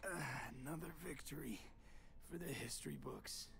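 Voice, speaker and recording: Someone puts on a character voice at a moderate pace, with clear background noise behind it. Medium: video game.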